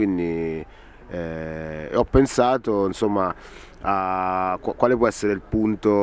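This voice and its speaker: In a dry recording with no echo, a man speaks at a fairly low pitch with ordinary pitch variation. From Rieti, central Italy; Italy. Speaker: actor; film actor. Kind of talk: interview. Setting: film festival. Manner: halting. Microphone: handheld.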